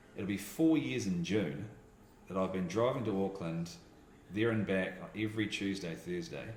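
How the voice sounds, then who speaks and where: In a New Zealand accent, a man speaks at a fairly low pitch and a moderate pace. His intonation is lively, and room echo is audible. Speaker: voiceover artist and radio teacher. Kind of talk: casual chat. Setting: radio school office. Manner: mumbling.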